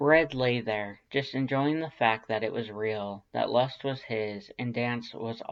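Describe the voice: The clip features plain reading aloud, and its pitch varies in an ordinary way.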